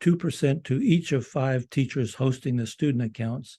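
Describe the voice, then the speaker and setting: A man speaks at a moderate pace and a medium pitch, his voice somewhat breathy. The tone is dark and mellow, with a quiet background. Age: 80s+. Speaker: school project leader presenting a close-out report. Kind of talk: prepared presentation read from a script. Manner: formal; occasional halting restarts.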